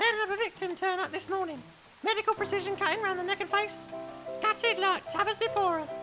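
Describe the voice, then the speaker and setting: A woman's squeaky put-on character voice at an extremely high pitch, racing at a very fast pace over clear background music. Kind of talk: comic Victorian period acting. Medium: audio drama. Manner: blunt, gossipy, plain-spoken.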